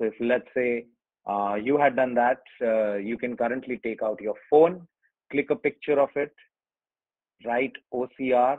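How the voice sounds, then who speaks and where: An Indian accent at a fairly slow pace. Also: man, medium pitch for a man, ordinary pitch variation. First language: Hindi. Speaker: online workshop presenter. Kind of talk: tutorial. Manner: hesitant, many fillers.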